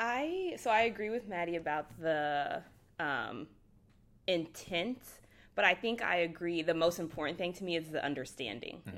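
In a plain, everyday voice, a woman with an American accent speaks at a fairly low pitch on a very clean recording with a silent background. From Texas. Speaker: business school student. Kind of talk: casual discussion.

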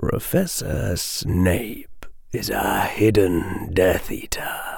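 A man speaks in a put-on character voice at a very slow pace, with a hissing quality. Light background noise sits behind him. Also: fairly low pitch for a man.

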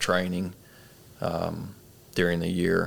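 A man with an Arkansas accent talks at a very slow pace, his fairly low voice bright and sharp in tone. The recording is very clean, with a silent background. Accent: Southern US (Arkansas). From central Arkansas. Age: 20s. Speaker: army officer and CrossFit coach. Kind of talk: casual interview. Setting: studio, in person.

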